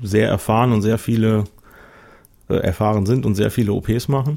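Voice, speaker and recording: A man speaks with a fairly low pitch and ordinary pitch variation. His tone is dark and mellow. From Westmünsterland, near the Dutch border. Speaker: guest planning weight-loss surgery. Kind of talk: casual chat. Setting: studio.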